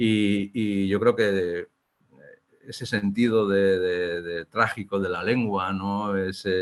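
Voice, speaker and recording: A man speaks at a very slow pace with monotone, flat intonation. His pitch is fairly low. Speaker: Basque-language writer. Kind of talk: interview conversation. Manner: hesitant, repeats words.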